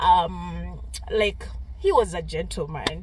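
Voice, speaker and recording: Noticeable background noise surrounds a woman whose voice sounds dry with no echo. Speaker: vlogger. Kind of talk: casual vlog chat. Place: car. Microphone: phone near.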